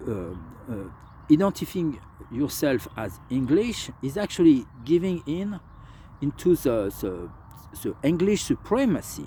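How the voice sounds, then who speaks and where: A man's fairly high, somewhat breathy voice with a dark, mellow tone, fairly slow pace, long and frequent pauses, very wide pitch swings and big swings in loudness. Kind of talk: political commentary to camera. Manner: slow, hesitant.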